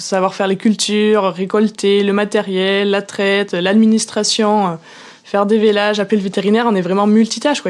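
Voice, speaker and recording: A woman at a medium pitch and a moderate pace, with a rural French accent. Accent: regional rural French. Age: young. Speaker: farmer. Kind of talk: interview answer. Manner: enthusiastic.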